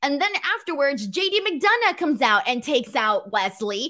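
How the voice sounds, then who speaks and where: In a Southern California accent, a woman speaks with a raised, projected voice that is high-pitched and bright and sharp in tone. Her delivery is animated, with very wide pitch swings. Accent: Valley girl. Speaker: pro wrestling podcast host. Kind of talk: casual show recap with live chat. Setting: live stream.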